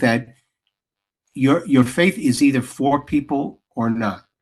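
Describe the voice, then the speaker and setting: Speaking at a very slow pace, a man with an American accent uses a fairly high voice with ordinary pitch variation. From New York, the Bronx. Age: 60s. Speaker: playwright and director. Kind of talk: interview. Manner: halting, many restarts.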